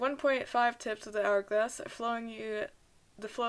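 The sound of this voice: Someone reads in an unforced reading voice, keeping the intonation fairly even.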